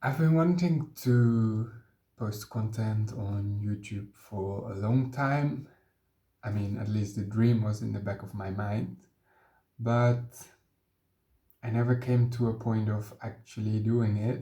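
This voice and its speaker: A man speaks very slowly, with long, frequent pauses. His medium-pitched voice has a dark, mellow tone and is somewhat breathy. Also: ordinary pitch variation. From Netherlands. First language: Dutch. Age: 20s. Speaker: vlogger. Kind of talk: personal introduction vlog. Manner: hesitant, with filler sounds.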